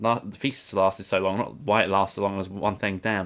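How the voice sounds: Fairly even in intonation, this is a natural reading voice.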